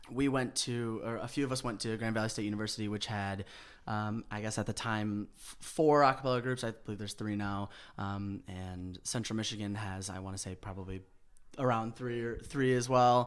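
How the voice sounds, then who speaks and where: An unremarkable speaking voice goes at a fairly quick pace with fairly even intonation on a very clean recording with a silent background. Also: man, fairly low pitch for a man. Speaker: a cappella group member. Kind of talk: casual interview chat.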